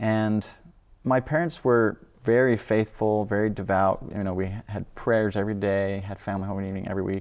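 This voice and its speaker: A man with an unremarkable speaking voice talks at a moderate pace, fairly low in pitch and with fairly even intonation. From Idaho. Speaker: philosophy doctoral student. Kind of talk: faith testimony interview.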